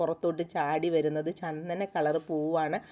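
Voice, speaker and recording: Fairly low in pitch, a woman's voice carries a dark, mellow tone. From Kerala, rural area near Vaikom. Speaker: gardening vlogger. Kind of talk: casual vlog narration. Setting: outdoors.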